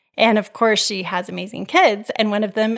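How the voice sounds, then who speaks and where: On a very clean recording with a silent background, a woman speaks at a fairly high pitch with fairly even intonation. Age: 50s. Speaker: podcast host and life coach. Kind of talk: casual interview.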